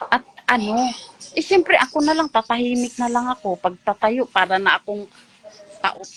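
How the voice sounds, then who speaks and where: A woman speaks at a high pitch with lively intonation in a Visayan accent, with noticeable background noise behind her. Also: moderate pace, dry, close sound with no echo. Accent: Visayan-accented Tagalog. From Mindanao, Philippines. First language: Cebuano (speaking Tagalog). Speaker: ex-church member. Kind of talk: testimony. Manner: animated.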